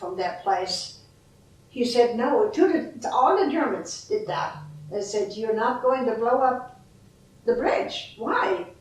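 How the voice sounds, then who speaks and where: Over noticeable background noise, a woman speaks at a fairly slow pace. Her pitch is high and her intonation lively. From Bad Reichenhall, Germany. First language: German. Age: 80s+. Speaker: World War Two eyewitness. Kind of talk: interview answer.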